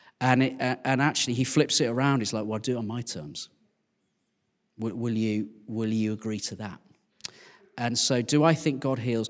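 At a moderate pace, a man with a West Midlands accent speaks at medium pitch with ordinary pitch variation. He takes long, frequent pauses. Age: 40s. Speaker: vicar. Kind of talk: casual interview.

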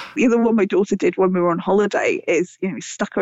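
Speaking with a British accent, a woman moves at a very fast pace. Her pitch varies in an ordinary way. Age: 40s. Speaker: author and scientist. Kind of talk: interview.

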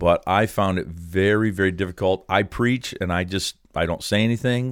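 A man's very deep, low pitch with ordinary pitch variation, in a very clean recording against a silent background. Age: 60s. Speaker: pastor and ministry director. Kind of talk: casual chat.

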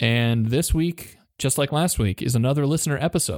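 A man with a normal speaking voice, fairly high pitch and ordinary pitch variation at a fairly quick pace, on a very clean recording with a silent background and a dry, close sound with no echo. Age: 40s. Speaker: podcast co-host. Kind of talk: reading aloud a true crime story; casual chat. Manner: laughs often.

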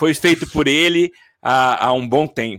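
A man's bright, sharp tone with a dry, close sound and no echo. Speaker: podcast host. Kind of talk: casual chat. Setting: home studio, live stream.

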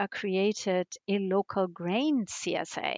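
A woman is speaking against a quiet background. The sound is dry and close, with no echo. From Germany and Greece. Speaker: cookbook author. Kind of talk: interview. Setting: remote call.

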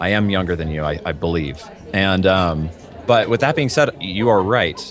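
A man talks at a moderate pace with a fairly low pitch and lively intonation. Noticeable background noise runs under the recording. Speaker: voice actor. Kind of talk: casual chat.

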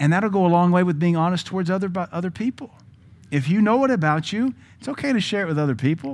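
Very fast, animated man's voice with an American accent, high-pitched for a man, with lively intonation. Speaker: pastor. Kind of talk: sermon. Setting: church. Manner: blunt, animated preaching.

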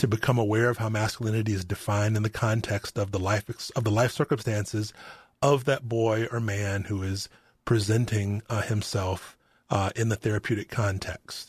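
In a monotone, flat delivery, a man speaks somewhat breathily, the sound dry and close with no echo over a quiet background. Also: fairly low pitch for a man, moderate pace. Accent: American. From Arkansas, US South. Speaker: psychology professor and podcast host. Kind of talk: casual interview chat. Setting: remote recording.

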